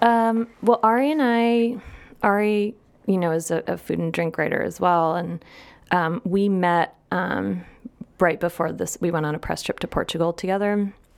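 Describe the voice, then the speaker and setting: A woman's medium-pitched voice in a Midwestern US accent, with ordinary pitch variation and a moderate pace. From US Midwest. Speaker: food and drink journalist. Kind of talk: casual chat.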